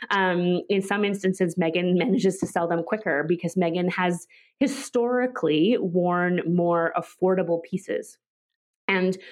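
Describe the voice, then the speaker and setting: Against a quiet background, a woman with a Canadian accent speaks in an unremarkable speaking voice at a moderate pace, with a medium pitch and fairly even intonation. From Canada, Vancouver. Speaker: royal-watching blogger and media manager. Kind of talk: interview.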